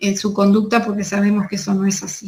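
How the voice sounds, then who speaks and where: A woman with a Uruguayan accent, medium-pitched, somewhat breathy, at a fairly quick pace, with audible room echo. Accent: Rioplatense Spanish (Uruguayan). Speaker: nutritionist. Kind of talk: conference talk.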